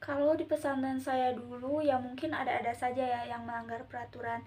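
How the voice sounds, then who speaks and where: A woman talks in a high voice. Her intonation stays fairly even. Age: 20s. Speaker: Islamic boarding school student. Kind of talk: casual interview.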